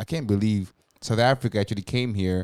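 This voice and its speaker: Dark and mellow in tone, a man speaks at a fairly low pitch in a dry, close sound with no echo on a very clean recording with a silent background. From Zimbabwe. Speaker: podcast co-host. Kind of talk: casual chat.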